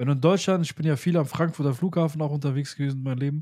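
A man's somewhat breathy, dark, mellow voice at a very fast pace, with ordinary pitch variation, on a very clean recording with a silent background. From Germany, Pakistani heritage. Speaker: podcast host. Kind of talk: casual chat.

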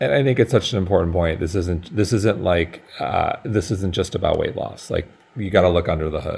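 A man's very deep, low, somewhat breathy voice at a fairly quick pace, with ordinary pitch variation and hardly any pauses. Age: 40s. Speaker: podcast host and company founder. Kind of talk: interview.

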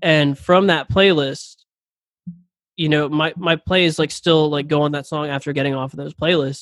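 A man with a normal speaking voice and an American accent talks at a fairly quick pace. His fairly high pitch stays fairly even, and the sound is dry and close with no echo. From Philadelphia. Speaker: musician. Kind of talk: casual chat.

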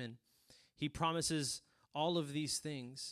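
Over a quiet background, a man with a South Texas accent speaks at a fairly high pitch. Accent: South Texas Mexican-American English. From Rio Grande Valley, Texas. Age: 20s. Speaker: preacher. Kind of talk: sermon. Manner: animated.

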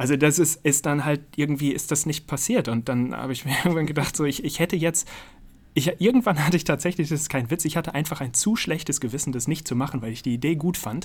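Very fast and somewhat breathy, a man speaks at a fairly high pitch with ordinary pitch variation. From Münster, North Rhine-Westphalia, Germany. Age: 30s. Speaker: science communicator and YouTuber. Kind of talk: interview.

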